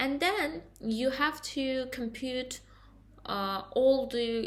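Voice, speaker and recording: The speaker is a woman with a non-native accent. Her pitch is high. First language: not English. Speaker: student. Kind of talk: class presentation. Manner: halting.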